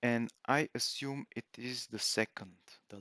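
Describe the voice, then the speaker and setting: A man's medium-pitched voice with a non-native accent, in a very clean recording with a silent background. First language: not English. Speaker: gaming video creator. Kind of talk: gameplay commentary. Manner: halting, many fillers.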